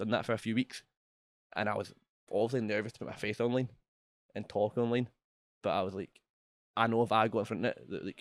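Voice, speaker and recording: Dry and close with no echo, a voice with a Scottish accent goes at a very fast pace in a monotone, flat delivery broken by long, frequent pauses. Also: man, medium pitch for a man. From Scotland. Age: 20s. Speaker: entrepreneur. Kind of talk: interview.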